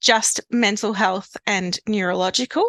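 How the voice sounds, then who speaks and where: Recorded dry and close with no echo, a woman speaks with a South Australian accent. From South Australia, Adelaide family; grew up in Victoria. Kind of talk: podcast interview. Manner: casual, conversational.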